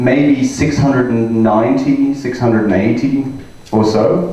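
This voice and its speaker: A man speaks over noticeable background noise. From Australia. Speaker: data scientist and trainer. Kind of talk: conference talk to live audience.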